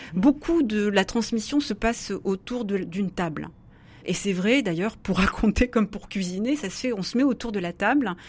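Somewhat breathy and at a medium pitch, a woman speaks at a moderate pace with lively intonation. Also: very clean recording, silent background. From southwest France, Béarn. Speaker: philosopher and author. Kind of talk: radio interview. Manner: hesitant, many fillers and repetitions.

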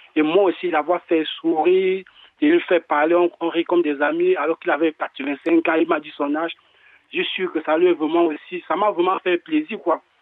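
With fairly even intonation, a man talks at a moderate pace in a high pitch. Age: young. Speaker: caller. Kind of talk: testimony. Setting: phone call. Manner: halting.

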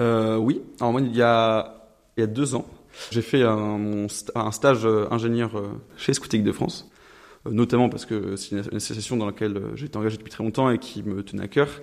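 Pausing long and often, a man talks at a moderate pace and medium pitch with fairly even intonation. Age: 20s. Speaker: engineering student. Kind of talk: interview. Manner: hesitant, many fillers.

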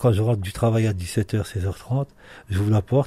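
Fairly low in pitch, a man speaks with a dark, mellow, somewhat breathy tone and fairly even intonation. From Marseille area. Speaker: father. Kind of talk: interview.

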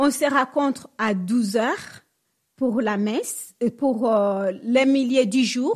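At a very slow pace, a woman speaks with a high pitch and ordinary pitch variation. The recording is very clean, with a silent background. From DR Congo. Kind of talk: radio interview.

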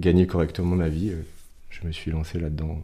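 Very deep and low, a man's voice comes through with a dark, mellow tone and a somewhat breathy quality. He keeps a moderate pace with monotone, flat intonation. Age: 30s. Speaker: horse breeder and community manager. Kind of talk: radio interview. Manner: halting.

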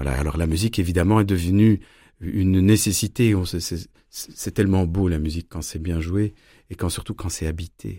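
Very deep and low, a man's dark, mellow voice moves at a moderate pace with ordinary pitch variation. Long, frequent pauses break up his speech on a very clean recording with a silent background. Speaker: violinist and storyteller. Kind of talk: interview.

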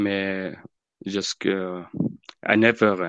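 A man's fairly low voice at a very slow pace, with a non-native accent, dry and close with no echo, over a quiet background. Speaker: charity volunteer. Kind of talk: testimony. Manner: halting.

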